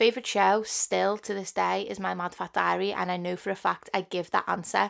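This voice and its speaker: A woman speaks at a moderate pace in a strong Liverpool accent. The recording is very clean, with a silent background. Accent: strong Scouse. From Liverpool, England. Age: 20s. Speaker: podcast host. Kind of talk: casual monologue.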